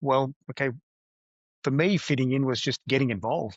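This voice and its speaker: A man at a medium pitch with an Australian accent. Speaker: business executive. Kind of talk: interview. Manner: hesitant, many fillers.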